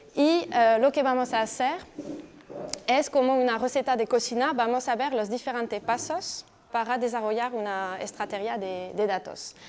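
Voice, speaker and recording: A high-pitched woman's voice in a French accent. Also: ordinary pitch variation, moderate pace. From France. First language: French (speaking Spanish). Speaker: digital marketing professional. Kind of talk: presentation. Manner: halting.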